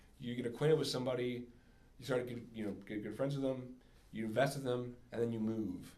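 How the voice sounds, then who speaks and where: This man speaks at a fairly quick pace. The room around him gives an audible echo. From US, moved around as military family child. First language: German. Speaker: singer-songwriter. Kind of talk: casual Q&A with students. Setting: classroom with audience. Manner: halting, many fillers.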